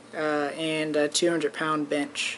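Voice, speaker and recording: This man speaks very slowly at a fairly high pitch, with noticeable background noise. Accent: American. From Fairfield, California. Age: 20s. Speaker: college student athlete. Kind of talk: audition tape talk to camera.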